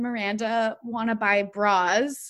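Speaking at a very slow pace, a woman with a high pitch is heard on a very clean recording with a silent background. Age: 20s. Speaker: podcast host. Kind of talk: casual chat.

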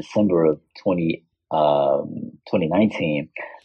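In an American accent, a man speaks with ordinary pitch variation. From Chicago South Side, US. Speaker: artist. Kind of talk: casual chat.

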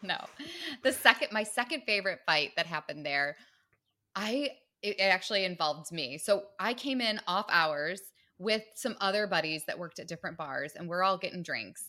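A woman with an American accent speaks at a medium pitch in a bright, sharp tone. The recording is very clean, with a silent background. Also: lively intonation, moderate pace. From Michigan, suburb of Detroit. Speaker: author and business owner, former bartender. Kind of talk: casual chat.

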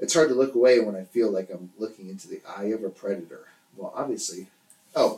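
With lively intonation, the passage is read aloud in a natural voice.

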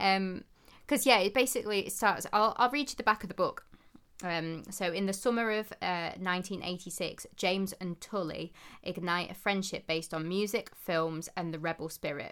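A woman with a plain, everyday voice speaks at a moderate pace and medium pitch, her pitch varying in an ordinary way, on a very clean recording with a silent background. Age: 30s. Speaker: book podcast co-host. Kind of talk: casual chat.

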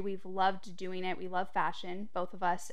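Audible room echo surrounds a woman who speaks fairly quickly. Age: 20s. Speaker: boutique owner. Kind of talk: interview.

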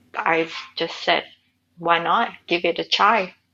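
With a Vietnamese accent and vocal fry, a woman with a fairly low pitch speaks at a very slow pace with fairly even intonation. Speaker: writer and nomad. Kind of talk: interview conversation.

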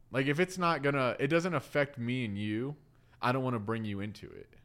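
A man with a normal speaking voice, a medium pitch, lively intonation and a fairly quick pace. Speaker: podcast co-host. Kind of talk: casual chat.

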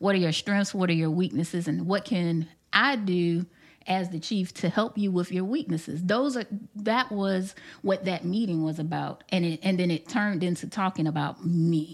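In a very clean recording with a silent background, a woman speaks at a moderate pace in an unremarkable speaking voice, medium in pitch with ordinary pitch variation. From South Carolina, raised in many places as military child. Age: 40s. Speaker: police assistant chief. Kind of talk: interview.

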